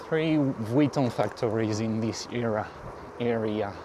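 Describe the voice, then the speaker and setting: A man with a French accent speaks at a very slow pace. Noticeable background noise runs under his voice. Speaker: cycling vlogger. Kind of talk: casual ride commentary. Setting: outdoors on a bike. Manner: halting.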